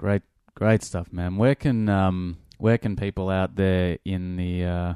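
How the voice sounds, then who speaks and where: A man's very deep, low pitch in a dark, mellow tone at a fairly slow pace, over a quiet background. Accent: Australian. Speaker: podcast host. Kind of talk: casual interview.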